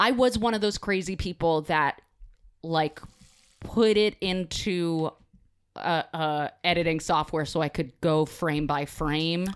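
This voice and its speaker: A woman at a very slow pace, ordinary pitch variation, on a very clean recording with a silent background. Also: fairly low pitch for a woman. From New Jersey. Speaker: podcast guest, video game fan. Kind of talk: casual chat. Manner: animated, pitch rises when excited.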